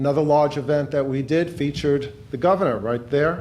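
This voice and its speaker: A man with a New York accent, fairly high in pitch and fairly quick in pace, amid audible room echo. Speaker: law professor, director of a public service center. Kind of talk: speech at a book launch event.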